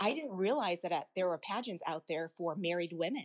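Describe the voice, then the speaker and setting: A woman talks in a normal speaking voice with an American accent at a medium pitch. Her pace is fairly quick and her intonation lively. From US South, Arkansas. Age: 30s. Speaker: pageant titleholder. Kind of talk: casual interview.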